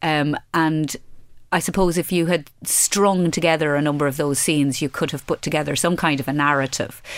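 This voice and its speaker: In an Irish Midlands accent, a woman with a very deep, low voice speaks at a moderate pace with fairly even intonation, in a very clean recording with a silent background. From Ireland, Laois (Midlands). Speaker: crime novelist, former solicitor. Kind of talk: interview. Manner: hesitant, many fillers.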